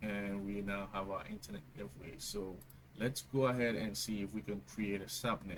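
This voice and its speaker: A man with a Ghanaian accent. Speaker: tech tutorial youtuber. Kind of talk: tutorial. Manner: hesitant, many fillers.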